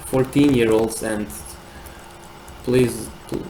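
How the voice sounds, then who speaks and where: A man with a non-native accent speaks fairly slowly with ordinary pitch variation. Noticeable background noise and audible room echo fill the recording. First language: not English. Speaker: live streamer. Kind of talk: live stream chat reading and commentary. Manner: halting, many repeated words.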